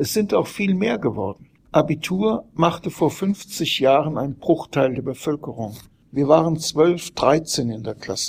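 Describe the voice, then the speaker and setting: This man speaks very slowly. His voice is pitched fairly high. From Frankfurt area, Germany. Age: old. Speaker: journalist and author. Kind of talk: reading aloud.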